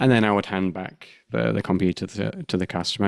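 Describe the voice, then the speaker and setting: Here is a man with a British accent and a fairly low pitch. He talks at a fairly quick pace. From UK. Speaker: podcast host, UX researcher. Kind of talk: casual podcast conversation. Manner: halting, many fillers and restarts.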